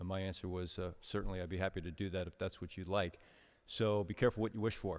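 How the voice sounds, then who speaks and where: Speaking very fast, a man with a very deep, low voice keeps his intonation fairly even in a very clean recording with a silent background. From New York City (Bronx) and New Jersey. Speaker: company executive, invited speaker. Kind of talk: speech to a business seminar audience. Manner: hesitant, many fillers and repetitions.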